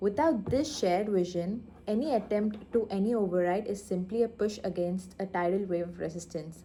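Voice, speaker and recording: A soft-spoken woman with a dark, mellow tone, at a moderate pace with hardly any pauses. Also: medium pitch for a woman, ordinary pitch variation. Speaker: vlogger practising speech. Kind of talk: reading aloud. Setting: in her lab. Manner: halting.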